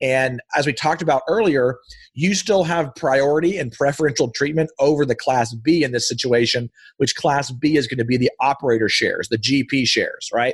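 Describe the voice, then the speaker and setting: A man's somewhat breathy, animated voice with fairly high pitch, ordinary pitch variation and a fairly quick pace. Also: quiet background. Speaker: real estate investor and entrepreneur. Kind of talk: educational interview. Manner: fast.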